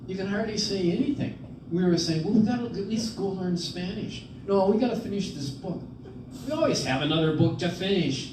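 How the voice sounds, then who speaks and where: Talking at a fairly quick pace, a man with a high pitch and lively intonation comes through with audible room echo and noticeable background noise. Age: 70s. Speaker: priest and retreat presenter. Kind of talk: retreat talk. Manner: conversational.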